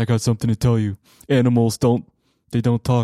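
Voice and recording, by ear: A put-on character voice delivers lines fairly quickly in a flat monotone. The recording is very clean, with a silent background. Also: man.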